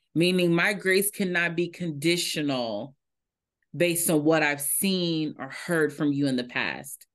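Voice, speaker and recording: In front of a quiet background, a woman speaks fairly slowly at a fairly low pitch in a plain, everyday voice. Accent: American. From Indianapolis, Indiana. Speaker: diversity and inclusion consultant. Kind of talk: interview.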